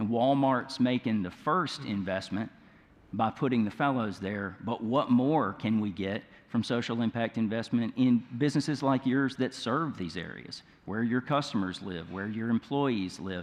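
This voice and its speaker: In a Mississippi accent, a man speaks at a moderate pace and medium pitch with ordinary pitch variation. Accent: Mississippi Southern. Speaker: nonprofit leader, panelist. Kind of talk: conference panel discussion.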